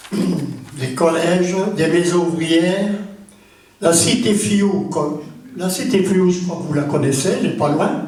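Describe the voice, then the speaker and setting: A high-pitched man with ordinary pitch variation, a very slow pace and long, frequent pauses, amid noticeable background noise and audible room echo. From Florange, Lorraine, France. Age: 80s+. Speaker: retired association president. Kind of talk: ceremony speech. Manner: informal, chatty.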